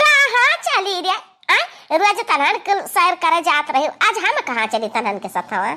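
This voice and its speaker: A woman does a squeaky, cartoonish character voice at an extremely high pitch. Her pitch swings very widely as she talks at a moderate pace. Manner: whiny, complaining.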